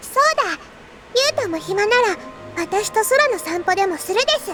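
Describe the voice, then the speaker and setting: Extremely high in pitch, a female-sounding put-on character voice races along at a very fast pace over loud background music. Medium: video game. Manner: flat, soft-spoken, terse.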